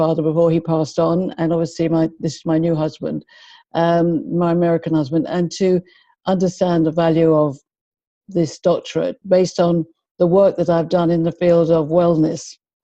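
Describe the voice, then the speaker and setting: A woman with a London accent, fairly low-pitched and dark, mellow in tone, at a moderate pace with fairly even intonation. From London, England (Finchley, North London). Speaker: behaviour and communication expert. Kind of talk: interview.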